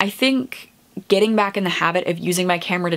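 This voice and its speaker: At a fairly quick pace, a woman speaks with a medium pitch. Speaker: booktuber. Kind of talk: casual vlog chat. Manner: chatty; fast.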